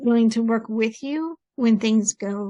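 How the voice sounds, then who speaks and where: A somewhat breathy voice at a very slow pace, with a dry, close sound and no echo. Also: woman. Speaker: podcast host. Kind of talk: casual chat. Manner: deliberately slowed pace.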